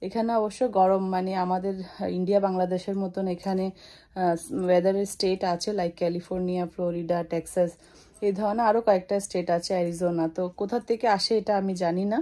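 Her voice dark and mellow, a woman speaks in a monotone with flat intonation. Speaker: home vlogger. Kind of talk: casual vlog chat. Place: home room. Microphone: phone near.

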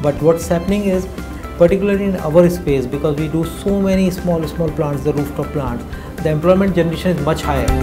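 A man talks at a fairly quick pace in a fairly high pitch. His intonation is fairly even, with clear music in the background. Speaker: company founder and CEO. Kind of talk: interview answer. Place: office. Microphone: lapel.

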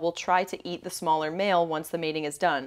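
A woman's voice over a quiet background. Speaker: podcast co-host. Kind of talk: casual chat. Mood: playful, amused. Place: home room. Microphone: lapel.

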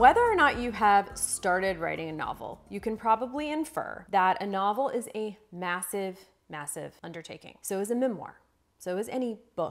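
A woman speaks at a moderate pace with lively intonation. Her loudness swings widely. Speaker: writing coach. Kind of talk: tutorial. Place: home room.

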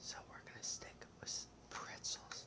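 The pace is fairly slow in this whispering. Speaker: gamer. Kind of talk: gaming commentary. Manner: whispered.

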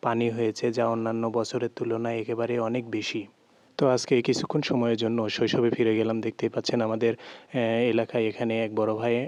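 A man's medium-pitched voice in a flat monotone. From Bangladesh, Naogaon (Atrai). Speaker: vlogger. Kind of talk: vlog narration. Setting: outdoors by floodwater.

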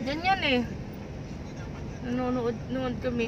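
Loud background noise surrounds a voice at a fairly slow pace, with dry sound and no echo. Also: woman. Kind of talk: casual chat. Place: car. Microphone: phone near.

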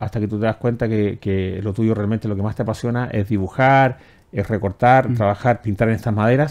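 This man has a plain, everyday voice with a fairly low pitch and fairly even intonation. He speaks at a fairly quick pace over a quiet background. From Chile. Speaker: TV talk show host; talk show host. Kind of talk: interview. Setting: studio. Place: studio.

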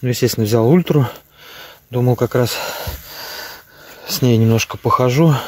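A man at a moderate pace in a dry sound with no echo. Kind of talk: casual vlog chat. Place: waterside. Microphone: phone near.

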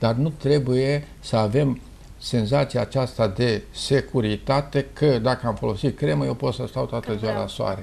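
Fairly slow male speech at medium pitch, with vocal fry and ordinary pitch variation. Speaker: dermatologist, professor. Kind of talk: interview answer. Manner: slow, emphatic. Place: office. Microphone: lapel.

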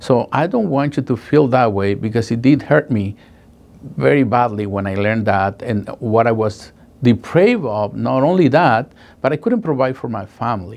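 A man speaks with a Spanish accent. His pitch varies in an ordinary way. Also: moderate pace. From Guatemala. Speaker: paralegal. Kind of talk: testimonial. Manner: halting, emotional. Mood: earnest, recalling painful experience. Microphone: lapel.

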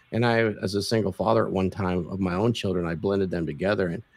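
The man's pace is fairly quick. There is ordinary variation in his pitch. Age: 60s. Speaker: video podcast host and lifestyle coach. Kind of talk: casual interview. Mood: proud, confident storytelling. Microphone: video call.

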